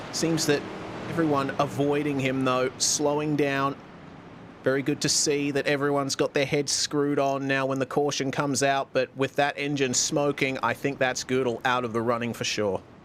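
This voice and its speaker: Over noticeable background noise, a man with a fairly high voice speaks at a moderate pace, in a monotone, flat intonation and at very even loudness. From Australia, Perth. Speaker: sim racing commentator. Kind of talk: live commentary.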